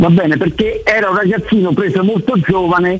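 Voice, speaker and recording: Noticeable background noise sits under the recording. A man speaks in a high voice. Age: 60s. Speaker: caller. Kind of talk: phone-in chat.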